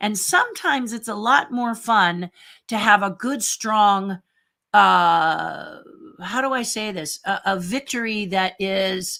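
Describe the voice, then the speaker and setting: Recorded very cleanly against a silent background, a woman with an American accent speaks in a medium pitch with a bright, sharp tone. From Southern California (Garden Grove). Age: 60s. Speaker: retired theme park designer and YouTuber. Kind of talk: livestream Q&A monologue. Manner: casual, with frequent fillers and hesitations.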